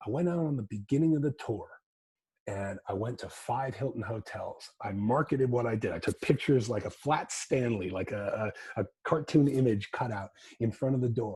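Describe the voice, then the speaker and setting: A man with an American accent speaks at a medium pitch, somewhat breathy. His pitch varies in an ordinary way. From US New England. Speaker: music business consultant. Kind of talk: talk to an audience. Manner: fast; halting, many repetitions.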